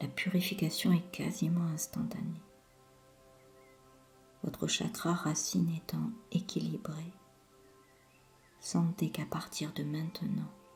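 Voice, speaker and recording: Music plays in the background as a woman with a fairly low pitch speaks at a very slow pace, leaving long, frequent pauses. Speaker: hypnotherapist. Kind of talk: sleep hypnosis session. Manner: slow, soothing.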